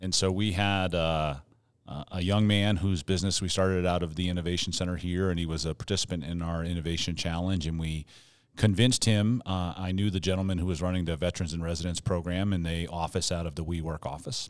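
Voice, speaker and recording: A man speaks at a very fast pace in a very deep, low pitch with fairly even intonation. The recording is very clean, with a silent background. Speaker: podcast co-host. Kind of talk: casual chat. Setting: studio.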